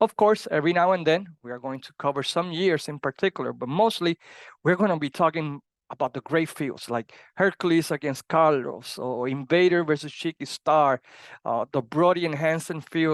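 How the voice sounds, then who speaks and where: A man with a strong Puerto Rican accent speaks at a fairly high pitch, with a dry, close sound with no echo against a quiet background. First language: Spanish. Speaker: wrestling podcast host. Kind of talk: podcast monologue. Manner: halting, with fillers.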